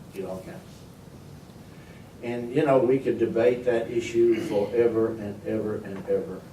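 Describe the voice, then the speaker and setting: In a room with audible echo, a man speaks at a fairly slow pace with lively intonation. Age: 80s+. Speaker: storyteller and humorist. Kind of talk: after-dinner humorous talk. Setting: meeting room, speaking to a board. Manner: halting, repeats words.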